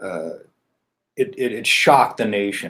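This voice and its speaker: A man talks at a moderate pace. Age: 60s. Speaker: political candidate. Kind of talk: interview. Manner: halting.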